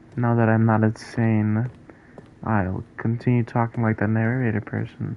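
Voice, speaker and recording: The man's pitch is medium and his intonation monotone and flat. He keeps a moderate pace. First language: not English. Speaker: gaming streamer. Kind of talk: live gameplay stream chat. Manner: casual, hesitant with fillers.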